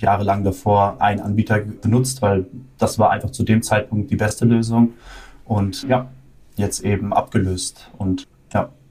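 Fairly low in pitch, a man talks with a dark, mellow, somewhat breathy tone. He keeps a fairly slow pace and fairly even intonation. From Germany. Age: 20s. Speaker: management consultant. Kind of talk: interview.

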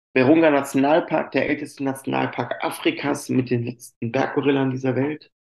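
With monotone, flat intonation, a man talks at a fairly quick pace in a fairly high pitch. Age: 40s. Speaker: chocolate company employee and sommelier. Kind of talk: interview.

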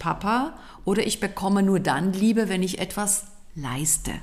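Speaking at a fairly slow pace, a woman has an ordinary speaking voice. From Switzerland. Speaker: organizational consultant and trainer. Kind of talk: casual chat.

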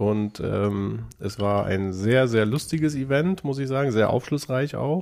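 With hardly any pauses, a man at a medium pitch uses lively intonation and a fairly slow pace in an unremarkable speaking voice, on a very clean recording with a silent background. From northern Germany, Lower Saxony. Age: 40s. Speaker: self-employed salesperson. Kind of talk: casual chat. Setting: studio.

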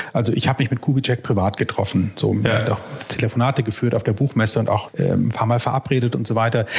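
Very fast speech from a man at medium pitch, fairly even in intonation and very even in loudness, over noticeable background noise. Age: 30s. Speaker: historian and author. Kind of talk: casual chat.

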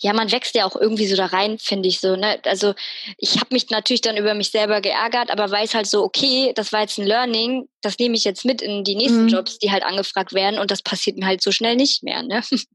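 Noticeable background noise sits behind a woman speaking at a fairly high pitch. Her intonation stays fairly even. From Münster, Germany. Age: 20s. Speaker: media designer and Instagram creator. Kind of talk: casual interview chat.

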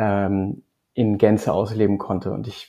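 In a quiet background, a man speaks at a fairly low pitch with a dark, mellow tone. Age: 30s. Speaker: marketing agency owner. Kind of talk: interview. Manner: halting, many fillers.

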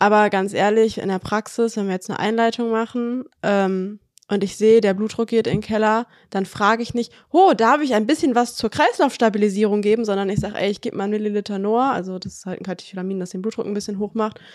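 The recording is very clean with a silent background. A woman speaks at a very fast pace in a fairly high pitch, keeping her intonation fairly even. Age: 20s. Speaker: anaesthesia technical assistant trainee. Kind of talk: casual interview chat.

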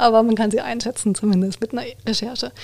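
Talking at a very fast pace, a woman uses a fairly high pitch with monotone, flat intonation. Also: very clean recording, silent background. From Baden-Württemberg, near Heidelberg. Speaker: trademark lawyer. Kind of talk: expert interview.

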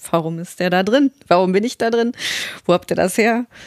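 The woman's pitch sits fairly low with ordinary variation. The sound is dry and close, with no echo. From Westphalia, Germany. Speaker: voice actor. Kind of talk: interview.

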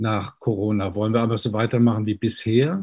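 A man speaks somewhat breathily in a dark, mellow tone. His pace is moderate, against a quiet background. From Germany, Mainz. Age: 50s. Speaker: pastor and party spokesperson. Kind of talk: interview. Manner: preachy, emphatic; hesitant with fillers.

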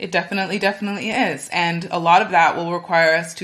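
With an American accent, a woman speaks at a fairly low pitch and ordinary pitch variation. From California, US. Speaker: food and agriculture event organizer, podcaster. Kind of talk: interview.

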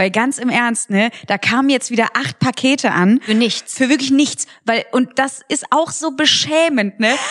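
Dry and close with no echo, the voice is animated yet fairly slow, with ordinary pitch variation and very even loudness. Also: woman, high pitch for a woman. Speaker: podcast co-host, comedian. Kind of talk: casual chat. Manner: animated, laughing often.

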